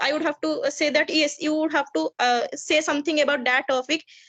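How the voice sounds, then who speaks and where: A woman speaks with a bright, sharp tone. The sound is dry and close, without echo. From India, Odisha. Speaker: English learner, homemaker. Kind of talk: casual chat. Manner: halting.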